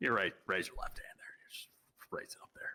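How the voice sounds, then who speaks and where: In a put-on character voice, a man talks at a fairly quick pace with an extremely high pitch. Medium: game stream. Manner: hesitant, over-eager.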